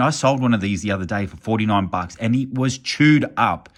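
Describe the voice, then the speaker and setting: A man with an Australian accent, fairly low pitch and an enthusiastic tone, at a moderate pace with ordinary pitch variation, on a very clean recording with a silent background. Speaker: YouTuber, card collector. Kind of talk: casual vlog. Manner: casual, enthusiastic.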